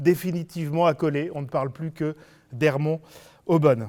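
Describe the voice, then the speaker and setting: The speech runs at a moderate pace with ordinary pitch variation, captured in a very clean recording with a silent background. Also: man. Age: 60s. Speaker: local politician, substitute candidate. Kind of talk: campaign self-introduction. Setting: video meeting recorded without audience. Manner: hesitant, many fillers.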